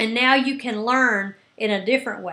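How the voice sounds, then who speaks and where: Raising and projecting her high voice, a woman speaks at a fairly slow pace with ordinary pitch variation. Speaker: business coach. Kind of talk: coaching talk. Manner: loud; animated.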